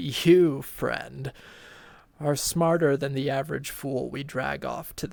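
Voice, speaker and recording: Putting on a character voice that is croaky, raspy and hoarse, a man speaks at a fairly slow pace with ordinary pitch variation. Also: medium pitch for a man. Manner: menacing.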